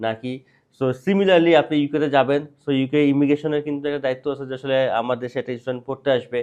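A man's normal speaking voice, fairly high in pitch, with fairly even intonation. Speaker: study abroad consultant and host. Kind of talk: interview.

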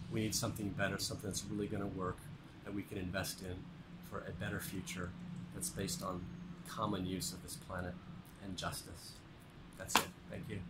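A man speaks at a fairly quick pace, with long, frequent pauses. Loud background noise fills the recording. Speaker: voter giving a street statement. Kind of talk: street interview answer. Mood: earnest, persuasive. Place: street. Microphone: phone near.

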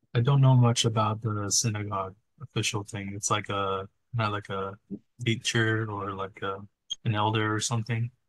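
Over a quiet background, a man talks at a moderate pace in a fairly low pitch. His voice is somewhat breathy and his intonation monotone and flat. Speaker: Bible study participant. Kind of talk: group Bible study discussion. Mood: thoughtful, friendly. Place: home room. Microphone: video call.

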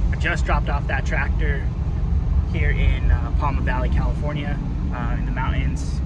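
A man at a moderate pace, with a dry sound with no echo, over loud background noise. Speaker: hotshot truck driver vlogger. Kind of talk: casual vlog chat. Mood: relaxed, friendly. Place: car. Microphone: phone near.

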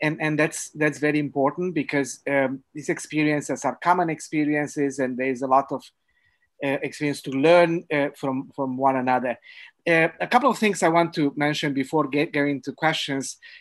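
Over a quiet background, a man with a fairly high pitch talks at a moderate pace with fairly even intonation. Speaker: webinar moderator. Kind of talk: webinar moderation. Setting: video call. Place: home room. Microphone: video call.

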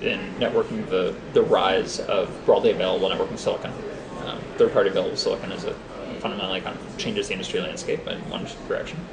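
Noticeable background noise runs through the clip. A man talks over it. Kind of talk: interview answer. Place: booth.

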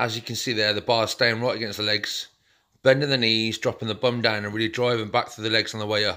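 Against a quiet background, a man's bright, sharp voice at a fairly quick pace with monotone, flat intonation. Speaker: fitness trainer. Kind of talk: casual vlog chat.

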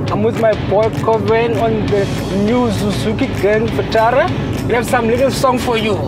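Speech runs at a moderate pace with music in the background. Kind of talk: casual vlog chat. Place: car. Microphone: camera far.

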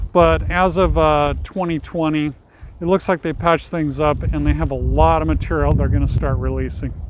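A man's moderate-paced speech is dry with no echo, though noticeable background noise is heard. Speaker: cemetery tour video host. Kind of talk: casual talk to camera. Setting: outdoors. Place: open country. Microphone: lapel.

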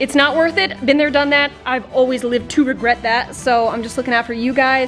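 A woman with a high pitch talks at a fairly quick pace as faint music sounds in the background. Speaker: fitness vlogger. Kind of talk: casual vlog chat. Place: gym. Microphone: phone near.

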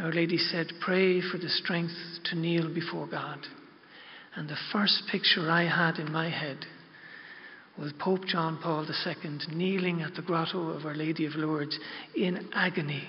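Soft-spoken and in an Irish accent, the voice stays monotone and flat, broken by long, frequent pauses. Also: man, high pitch for a man, moderate pace. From Ireland. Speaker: pilgrim guide. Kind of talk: religious talk to an audience. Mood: reverent, heartfelt. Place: hall. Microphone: podium.

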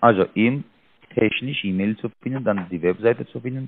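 A man with a non-native accent speaks at a moderate pace, his fairly low pitch carrying lively intonation. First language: not German (speaking German). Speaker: scam call center agent. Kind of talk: phone call. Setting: phone call. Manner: halting. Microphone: mic too close to mouth, muffled; phone line.

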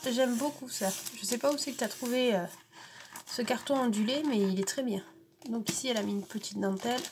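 A woman's pitch varies in an ordinary way, with light background noise underneath. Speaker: scrapbooking vlogger. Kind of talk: casual unboxing vlog. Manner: hesitant, many fillers. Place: home room. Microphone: camera far.

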